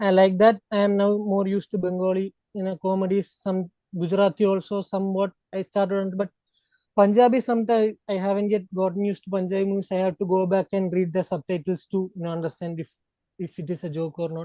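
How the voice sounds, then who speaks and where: With a non-native accent, a man speaks very fast in a high, dark, mellow voice, monotone and flat, with a dry, close sound and no echo. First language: not Hindi. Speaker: podcast panelist. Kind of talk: casual chat.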